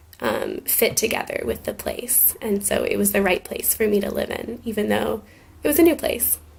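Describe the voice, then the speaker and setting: A woman speaks with an American accent at a moderate pace. Noticeable background noise runs behind her. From Scotland and Germany. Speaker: teacher's friend answering a class's questions. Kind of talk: casual video message. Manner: hesitant, many fillers.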